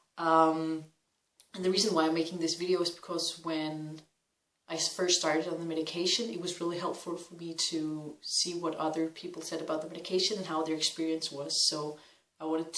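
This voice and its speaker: A Danish accent at a fairly quick pace. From Denmark. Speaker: vlogger. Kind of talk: personal testimony vlog. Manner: hesitant, many fillers.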